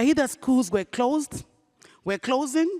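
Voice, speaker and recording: A woman with an African accent speaks with very wide pitch swings, the sound dry and close with no echo. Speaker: nonprofit CEO. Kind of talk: panel discussion.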